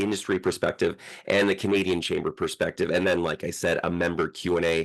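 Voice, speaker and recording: At a fairly quick pace, a man speaks over a quiet background. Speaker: webinar host. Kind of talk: webinar hosting. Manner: fast.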